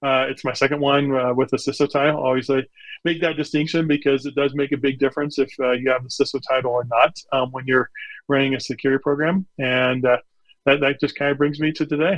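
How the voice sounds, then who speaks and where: A man with an American accent speaks at a fairly high pitch in a monotone, flat way. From Nebraska, US Midwest. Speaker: chief information security officer. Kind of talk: interview.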